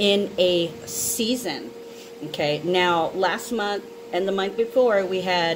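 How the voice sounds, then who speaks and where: Talking very slowly, a woman is heard against noticeable background noise. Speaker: astrology reader. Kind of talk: casual vlog chat. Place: home room. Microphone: phone near.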